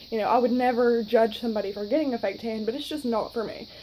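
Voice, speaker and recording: A woman with a Southern US accent has a fairly high pitch and a dark, mellow tone. She talks at a fairly quick pace. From US South, North Alabama. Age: 20s. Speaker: vlogger. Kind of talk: casual vlog talk. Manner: chatty, many fillers.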